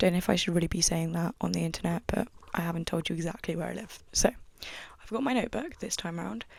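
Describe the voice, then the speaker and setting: Quiet and with a British accent, a woman speaks at a very fast pace with a fairly low pitch and vocal fry. Her intonation is lively and her loudness swings widely. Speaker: podcaster. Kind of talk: casual monologue podcast. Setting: at home desk.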